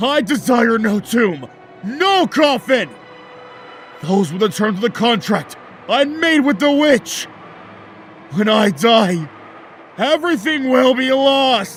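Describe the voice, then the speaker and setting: A man shouting in a put-on character voice at a fairly slow pace, with clear music in the background. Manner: shouting, furious.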